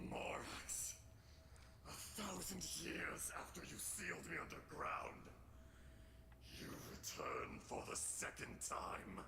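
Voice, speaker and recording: Loud background noise surrounds a man whispering at a fairly slow pace. He uses a put-on character voice. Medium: game stream. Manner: scornful, booming.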